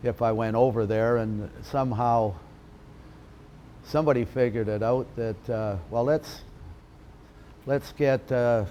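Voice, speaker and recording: Long, frequent pauses punctuate a man's fairly slow speech, his dark, mellow voice sitting at medium pitch with ordinary variation and a western Canadian accent. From western Canada (Alberta, then Vancouver area). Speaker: retired lacrosse player. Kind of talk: interview reminiscence. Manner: hesitant, many fillers.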